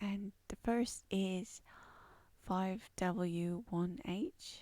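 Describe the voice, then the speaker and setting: A soft-spoken woman with a dark, mellow tone talks at a medium pitch with ordinary pitch variation. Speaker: university lecturer. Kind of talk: lecture. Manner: quiet, speaking softly; hesitant, many fillers.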